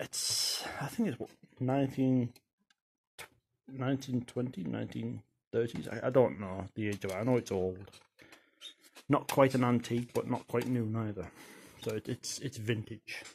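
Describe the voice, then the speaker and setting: A somewhat breathy man talks at a fairly slow pace with long, frequent pauses over light background noise. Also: ordinary pitch variation. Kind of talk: casual show-and-tell demonstration. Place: home room.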